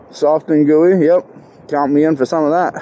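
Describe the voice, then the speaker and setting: A dry sound with no echo and light background noise. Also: man. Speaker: rider vlogger. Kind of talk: casual vlog chat. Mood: relaxed, joking. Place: street. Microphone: lapel.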